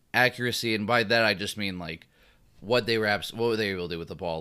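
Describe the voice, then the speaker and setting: In a very clean recording with a silent background, a man with a fairly low pitch and ordinary pitch variation speaks in a normal speaking voice. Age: 20s. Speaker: sports podcast host. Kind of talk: casual chat.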